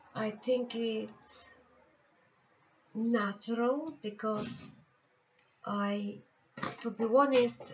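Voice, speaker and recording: A woman with a Bulgarian accent, fairly high pitch, very slow pace and long, frequent pauses. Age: 50s. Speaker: tarot reader and healer. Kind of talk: personal life story vlog. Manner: halting.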